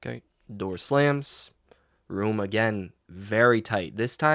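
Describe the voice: Plain reading aloud, with only quiet behind it.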